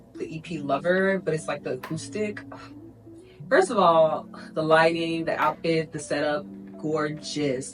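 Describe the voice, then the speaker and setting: A woman's very deep, low pitch with lively intonation at a fairly slow pace, with music in the background. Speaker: lifestyle vlogger. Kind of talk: casual talk to camera.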